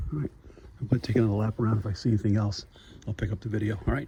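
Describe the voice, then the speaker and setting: Whispering at a very fast pace, a man sounds somewhat breathy. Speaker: toy collector vlogger. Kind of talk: casual vlog walkthrough. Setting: inside a store.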